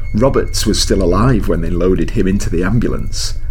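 With music in the background, a man speaks in a dramatic tone. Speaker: author and podcast co-host. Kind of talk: horror story narration, author reading own short story aloud. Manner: dramatic, spooky storyteller who shifts tone and voices between characters.

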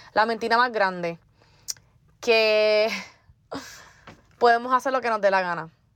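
Pausing long and often, a woman with a fairly high pitch talks at a fairly slow pace with ordinary pitch variation. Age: 20s. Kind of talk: faith testimony monologue.

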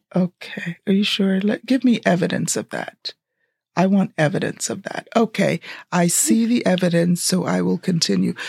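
A woman's vocal fry at medium pitch, ordinary pitch variation and a moderate pace, in a dry, close sound with no echo. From Jamaica, raised in Brooklyn from elementary school. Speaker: podcast co-host. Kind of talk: casual chat. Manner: animated.

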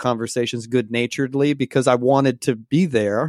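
A man speaks in a normal speaking voice with an American accent, at medium pitch and a fairly quick pace, his intonation fairly even. The sound is dry and close with no echo, on a very clean recording with a silent background. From US South, Georgia. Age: 30s. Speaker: pastor, author and former rock musician. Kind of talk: interview conversation.

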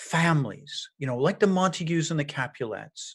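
A man with an Irish accent speaks at a high pitch. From Ireland. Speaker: podcast host, journalist and professor. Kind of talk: interview.

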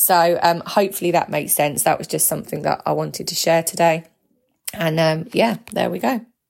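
Speaking at a fairly quick pace, a woman with a fairly low pitch and vocal fry uses ordinary pitch variation. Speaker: podcast host, spiritual coach. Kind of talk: solo monologue podcast. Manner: hesitant, many fillers and restarts; passionate, feisty delivery.

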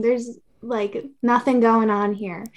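A woman speaks quietly in a fairly high pitch. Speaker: content creator. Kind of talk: casual interview chat. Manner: monotone, quiet, chill.

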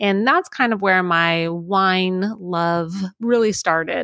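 An American accent and an unremarkable speaking voice come from this woman at a medium pitch with ordinary pitch variation. The recording is very clean, with a silent background. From Florida. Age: 30s. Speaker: winery tasting room associate. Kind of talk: interview, casual chat.

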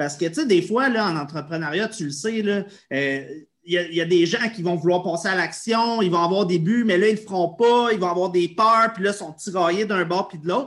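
A man speaks in a Quebec accent at a high pitch. His pitch varies an ordinary amount. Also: moderate pace. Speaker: podcast host. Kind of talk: interview.

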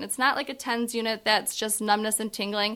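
Bright, sharp tone marks this woman's fairly high voice. The recording is very clean, with a silent background. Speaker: physical therapist. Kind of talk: professional podcast interview.

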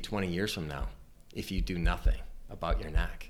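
Using vocal fry, a man talks at a fairly quick pace with ordinary pitch variation. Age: 50s. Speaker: chiropractor and practice coach. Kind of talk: informal talk to interns, recorded for podcast. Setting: private office around a table.

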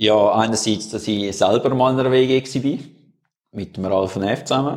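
A man with a Swiss accent speaks at a fairly low pitch. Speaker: podcast co-host, former mountain biker. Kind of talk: casual chat. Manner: hesitant, many fillers.

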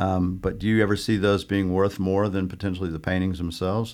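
Speaking at a very fast pace, a man with a very deep, low pitch is heard in a very clean recording against a silent background. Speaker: art gallery owner and podcast host. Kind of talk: casual interview chat.

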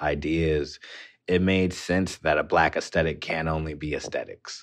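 The speech comes at a moderate pace with monotone, flat intonation over a quiet background. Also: man. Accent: American. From Inland Empire, Southern California. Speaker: architectural designer. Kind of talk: interview.

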